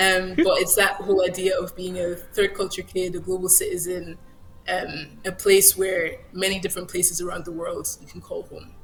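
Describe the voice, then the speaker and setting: A woman's medium-pitched voice at a moderate pace, monotone and flat, with big swings in loudness. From Germany and Scotland, Nigerian-born, later US. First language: German. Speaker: author. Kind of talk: interview.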